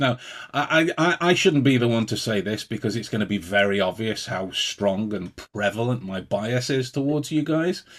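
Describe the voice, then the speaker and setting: The intonation rises and falls in a lively way. The pace stays moderate. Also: man. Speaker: podcast host. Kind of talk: casual chat.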